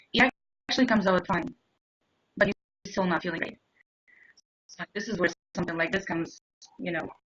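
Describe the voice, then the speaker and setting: A woman's medium-pitched voice with a slight non-native accent, fairly quick pace, ordinary pitch variation and long, frequent pauses. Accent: slight foreign. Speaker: interview show host. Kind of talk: interview.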